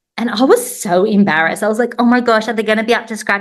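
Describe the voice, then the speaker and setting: A woman's fairly high voice with an Australian accent. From Australia, Sydney. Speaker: teacher and online resource seller. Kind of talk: interview.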